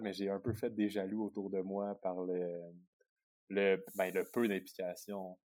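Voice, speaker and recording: Delivery comes at a fairly slow pace. Intonation stays monotone and flat. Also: man. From Quebec, Sherbrooke. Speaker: biathlete. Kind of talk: interview. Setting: remote call.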